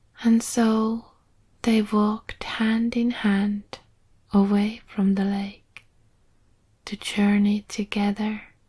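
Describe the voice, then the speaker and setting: Soft-spoken and somewhat breathy, a woman speaks at fairly high pitch in a dark, mellow, calm and soothing tone. Her intonation is monotone and flat, and she goes very slowly with long, frequent pauses. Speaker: storyteller. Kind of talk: sleep story. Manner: calm, soothing.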